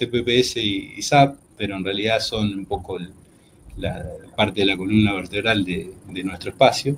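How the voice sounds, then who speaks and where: Over light background noise, a somewhat breathy man speaks at a fairly slow pace with lively intonation. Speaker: veterinarian, agricultural researcher. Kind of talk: lecture. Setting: video call. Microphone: video call.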